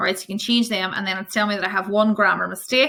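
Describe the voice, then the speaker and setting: A woman at a medium pitch, very fast, with a bright, sharp tone and fairly even intonation. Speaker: primary teacher. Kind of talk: conference tutorial. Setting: conference presentation.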